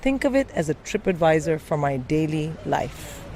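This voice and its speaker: A woman with a very deep, low voice and an American accent. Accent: sometimes quite American. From India. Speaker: comedian. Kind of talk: stand-up.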